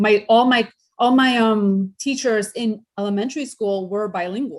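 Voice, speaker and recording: Speaking with ordinary pitch variation, the woman has a fairly high pitch. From New York, Hudson Valley (part of childhood in Peru). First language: Spanish. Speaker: interview guest. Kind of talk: interview.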